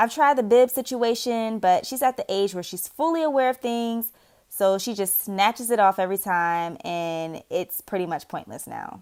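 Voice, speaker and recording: A woman's plain, everyday voice with an American accent, fairly high in pitch and lively in intonation, at a moderate pace with hardly any pauses, on a very clean recording with a silent background. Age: 20s. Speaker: single mother and caregiver. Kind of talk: vlog voice-over narration.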